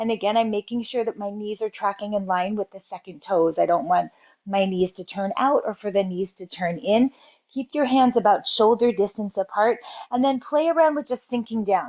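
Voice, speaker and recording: At a moderate pace, a woman speaks in an ordinary speaking voice with ordinary pitch variation. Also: fairly high pitch for a woman. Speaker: fitness and posture instructor. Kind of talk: exercise tutorial.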